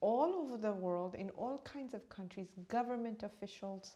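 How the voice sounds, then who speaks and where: The voice has an East African accent, a dark, mellow tone and ordinary pitch variation. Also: woman. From born in Uganda, raised partly in India, then New York. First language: Swahili. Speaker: meditation teacher and author. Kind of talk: interview.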